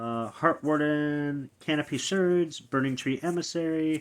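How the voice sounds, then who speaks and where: Very slow speech from a man with a fairly high pitch. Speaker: card collector opening packs. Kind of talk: casual pack-opening commentary. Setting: recording alone in his room. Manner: slightly slurred speech.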